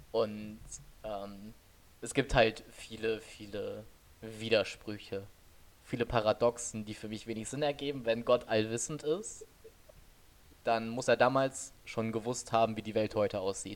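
Big swings in loudness run through a man's speech, which has a medium pitch and fairly even intonation. He keeps a fairly slow pace with long, frequent pauses. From western Germany, Oberbergisches Land. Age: 20s. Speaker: podcast co-host. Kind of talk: casual chat. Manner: low-energy, calm.

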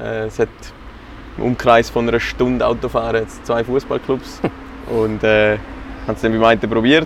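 A man with a Graubünden accent at a moderate pace, long, frequent pauses, and noticeable background noise. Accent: Graubünden Swiss German dialect. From Graubünden, Switzerland. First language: Swiss German (speaking German). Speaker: amateur football coach. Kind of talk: casual interview.

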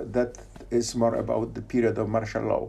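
A man with a Polish accent at a moderate pace. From Poland, Poznan. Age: 60s. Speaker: theoretical physicist. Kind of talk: casual interview. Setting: on location in Fraserburgh, Scotland. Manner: halting, with fillers.

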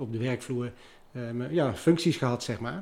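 A man's unremarkable speaking voice at a medium pitch and fairly quick pace. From Netherlands, Liemers (Gelderland). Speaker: restaurant owner. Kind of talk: interview. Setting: at his restaurant.

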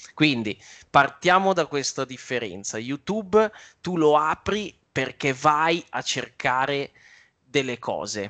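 Over a quiet background, a man with a bright, sharp tone and fairly high pitch speaks very slowly with lively intonation, the sound dry and close with no echo. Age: 30s. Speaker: trader and youtuber. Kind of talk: interview.

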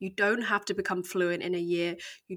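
A woman with an English accent speaks at a medium pitch with fairly even intonation on a very clean recording with a silent background. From England. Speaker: podcast co-host. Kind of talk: casual discussion.

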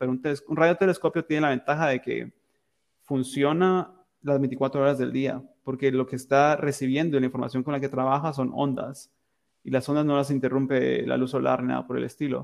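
Delivery comes at a fairly quick pace. The intonation is monotone and flat. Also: man. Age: 20s. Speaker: engineering student. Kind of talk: interview. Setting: remote call.

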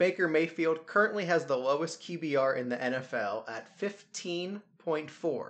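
A man with an ordinary speaking voice talks at a moderate pace and a fairly high pitch, with lively intonation and hardly any pauses. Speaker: sports podcast host. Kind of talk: casual chat.

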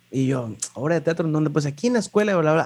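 A man's fairly high voice with lively intonation and a Mexican accent. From Mexico, Puerto Vallarta. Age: 20s. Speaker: lighting designer. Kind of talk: interview. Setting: remote call.

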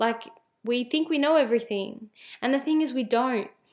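On a very clean recording with a silent background, a woman with a normal speaking voice talks at a moderate pace with ordinary pitch variation. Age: 20s. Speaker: podcast host, mindset and spirituality coach. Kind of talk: solo podcast monologue. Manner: casual, with frequent fillers and restarts.

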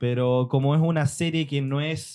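The speaker has a Chilean accent and fairly even intonation. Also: man. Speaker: podcast co-host. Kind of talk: casual chat.

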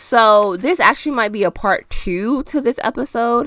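Animated in tone, a woman speaks at a fairly high pitch with ordinary pitch variation. The recording is very clean with a silent background. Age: 20s. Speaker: podcast host. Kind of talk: casual solo monologue.

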